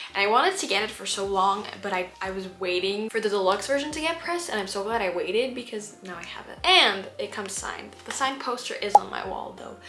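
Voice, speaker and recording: Speaking at a very fast pace with hardly any pauses, a woman with medium pitch uses lively intonation, an animated tone and big swings in loudness against noticeable background noise. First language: not English. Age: 20s. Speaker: vlogger. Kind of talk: casual chat.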